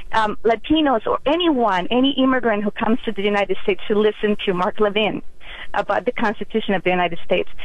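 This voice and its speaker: Noticeable background noise behind a very fast delivery and ordinary pitch variation. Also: woman, fairly high pitch for a woman, very even loudness. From Mexico. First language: Spanish. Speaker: caller. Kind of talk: call-in radio talk. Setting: phone call. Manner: halting.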